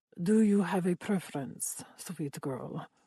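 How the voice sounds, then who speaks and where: A woman performs a put-on character voice at a fairly low pitch and a fairly slow pace. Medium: read story. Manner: indulgent, smiling.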